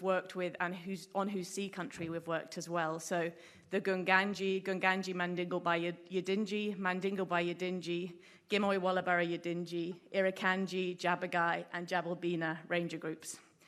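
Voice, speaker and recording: A woman speaks in a monotone, flat intonation with an English accent. The recording is very clean, with a silent background. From England. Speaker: marine researcher. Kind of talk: conference talk. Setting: stage with audience.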